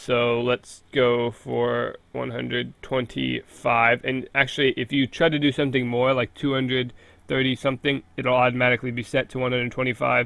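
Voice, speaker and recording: Medium in pitch, a man delivers his words at a moderate pace in a monotone, flat intonation. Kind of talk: casual gaming tutorial talk.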